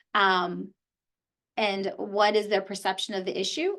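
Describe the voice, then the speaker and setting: A woman talks at a moderate pace in a medium pitch with fairly even intonation. She has a normal speaking voice. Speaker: lawyer and mediator. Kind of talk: lecture.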